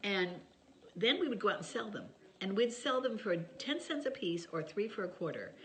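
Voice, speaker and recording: A woman's somewhat breathy voice moves through very wide pitch swings, with audible room echo. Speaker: author sharing family stories. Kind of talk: casual chat to camera. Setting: home video by Christmas tree.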